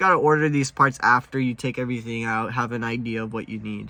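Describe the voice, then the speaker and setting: Speaking at a fairly quick pace, a man with a medium pitch and ordinary pitch variation has a bright, sharp tone. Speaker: car enthusiast youtuber. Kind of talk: casual tutorial monologue. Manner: hesitant, many filler words.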